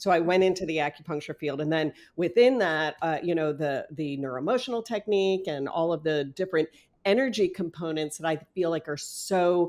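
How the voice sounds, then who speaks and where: With an ordinary speaking voice, a woman talks at fairly low pitch with ordinary pitch variation against a quiet background. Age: 60s. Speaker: acupuncturist and natural facelift practitioner. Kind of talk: podcast interview. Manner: conversational with frequent fillers.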